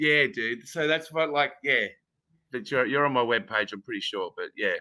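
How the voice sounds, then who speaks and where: A man speaks with an Australian accent at a moderate pace. The sound is dry and close, with no echo. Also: very clean recording, silent background. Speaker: actor. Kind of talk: casual chat. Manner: halting.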